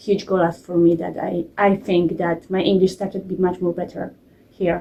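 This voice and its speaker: A woman speaks in a Polish accent at a medium pitch. Her tone is dark and mellow, and her intonation is fairly even. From Poland. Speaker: programme participant, parent. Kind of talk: testimony. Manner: halting.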